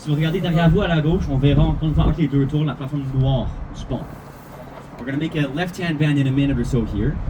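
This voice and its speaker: Over noticeable background noise and audible room echo, a man talks very fast in a fairly high pitch. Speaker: bilingual bus tour guide. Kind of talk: live guided tour commentary. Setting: tour bus. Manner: animated.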